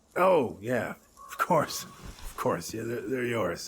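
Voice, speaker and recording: The voice is a put-on character voice with a raspy quality. It moves at a fairly slow pace. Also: man. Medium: video game. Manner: hesitant, halting.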